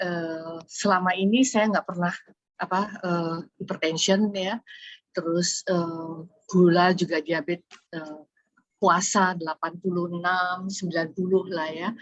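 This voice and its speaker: A woman's fairly low-pitched voice, fairly slow in pace, with monotone, flat intonation. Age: 60s. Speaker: webinar participant asking question. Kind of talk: audience question. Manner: halting, many fillers.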